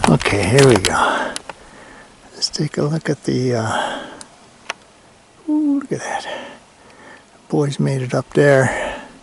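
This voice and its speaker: The speech moves at a very slow pace with long, frequent pauses, and background noise is noticeable. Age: 60s. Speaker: hiker vlogger. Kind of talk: outdoor vlog narration. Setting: outdoors on a mountain hike. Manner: casual, halting with fillers.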